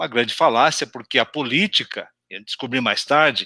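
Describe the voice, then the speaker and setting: There is no echo, and the sound stays dry and close. A bright, sharp tone comes through. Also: man. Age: 60s. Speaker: retired executive, institute founder. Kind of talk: live interview. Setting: live stream.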